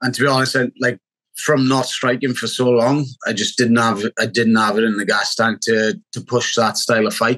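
In a dry, close sound with no echo, a man with a strong Welsh accent speaks at medium pitch and a moderate pace. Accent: Welsh, thick. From Wales. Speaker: MMA fighter. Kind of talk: casual interview.

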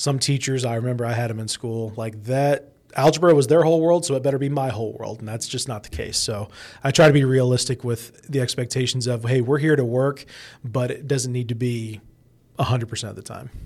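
On a very clean recording with a silent background, a man with a Midwestern American accent talks at a fairly quick pace in a medium pitch with fairly even intonation. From Indianapolis, Indiana. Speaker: radio personality and teacher. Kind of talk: casual interview.

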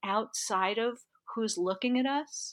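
A woman speaks at a very slow pace, her pitch swinging very widely. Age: 60s. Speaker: health coach and somatic educator. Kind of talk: interview.

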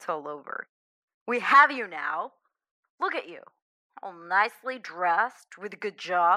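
In a natural reading voice with lively intonation, the speaker comes through over a quiet background.

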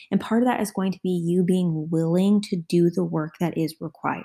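Her voice is somewhat breathy. The woman is heard in a very clean recording with a silent background. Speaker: podcast host. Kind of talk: solo pep talk, motivational coaching address to listeners. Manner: direct, urgent, encouraging, punchy commands; conversational, with filler words and self-corrections.

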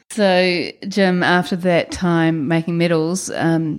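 Speaking with a New Zealand accent, a woman keeps a fairly low pitch and fairly even intonation. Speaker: podcast host. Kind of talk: interview.

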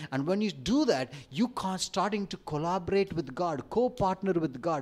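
This speaker has an Indian accent. The pace is moderate. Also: man. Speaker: preacher. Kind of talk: sermon. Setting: church.

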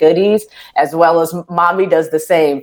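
A woman talks with a very deep, low pitch. Her tone is animated. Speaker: radio host. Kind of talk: casual chat.

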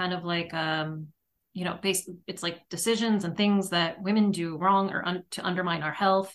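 A woman talks in an unremarkable speaking voice. She keeps a moderate pace with ordinary pitch variation. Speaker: podcast host. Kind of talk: casual interview chat. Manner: casual, chatty.

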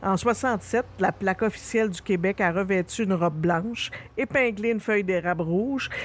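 Medium pitch, ordinary pitch variation and a moderate pace from a woman in a normal speaking voice. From Quebec, Rouyn-Noranda (Abitibi). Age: 50s. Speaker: podcast host. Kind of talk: scripted narration.

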